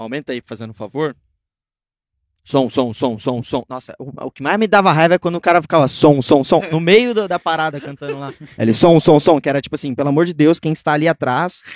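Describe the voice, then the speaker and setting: The very clean recording has a silent background and a dry, close sound with no echo, as a man talks at a fairly quick pace with ordinary pitch variation. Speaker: musician and music producer. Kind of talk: casual interview chat.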